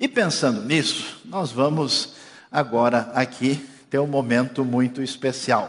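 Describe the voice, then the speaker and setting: A man at a fairly slow pace, flat and monotone. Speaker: pastor. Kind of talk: sermon. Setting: church.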